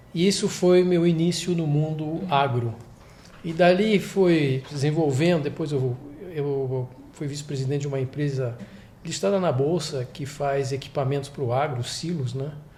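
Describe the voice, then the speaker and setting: Speaking at a fairly slow pace, a man uses a fairly high pitch with ordinary pitch variation, and the room echo is audible. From France. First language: French (speaking Portuguese). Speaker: investment executive. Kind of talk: interview. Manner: halting.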